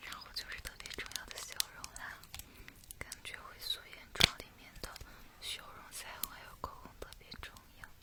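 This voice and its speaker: Someone whispers at a moderate pace, with long, frequent pauses. Noticeable background noise is present. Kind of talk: roleplay ASMR where she plays a makeup artist talking to a customer. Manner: soft, friendly, chatty.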